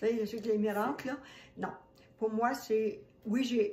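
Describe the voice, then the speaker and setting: A Quebec accent with fairly even intonation. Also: woman. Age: 70s. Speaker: holistic esthetician. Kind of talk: testimony. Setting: home kitchen.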